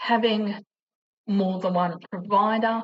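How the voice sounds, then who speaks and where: A woman speaks with an Australian accent at a medium pitch. Her pace is fairly slow and her intonation fairly even. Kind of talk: informational vlog. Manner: halting, struggles with pronunciation.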